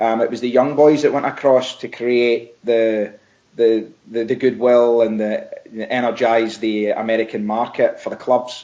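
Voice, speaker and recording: This man speaks in a Scottish accent at medium pitch. His intonation is monotone and flat, at a moderate pace. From Scotland. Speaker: football coach, former player. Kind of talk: podcast interview.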